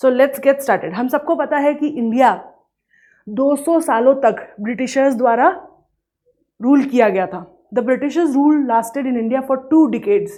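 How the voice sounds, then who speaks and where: A woman's high-pitched, dark and mellow voice at a moderate pace, with ordinary pitch variation and long, frequent pauses. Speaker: economics teacher. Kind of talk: lecture.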